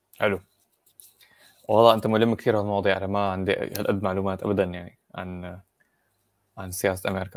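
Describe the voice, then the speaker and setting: A man's fairly low, flat, monotone voice at a fairly quick pace, with long, frequent pauses, a quiet background and a dry, echo-free sound. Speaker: podcast co-host. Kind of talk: casual chat. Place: home room. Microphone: earbuds.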